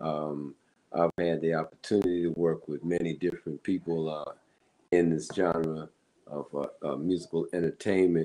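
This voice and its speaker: With an American accent, a man speaks in a very deep, low pitch, his tone dark and mellow and his intonation monotone and flat. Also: moderate pace. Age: 60s. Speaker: musician. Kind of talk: interview.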